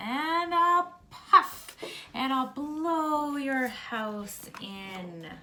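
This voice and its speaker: In a put-on character voice pitched high, a female-sounding speaker talks at a very slow pace. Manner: menacing, storytelling.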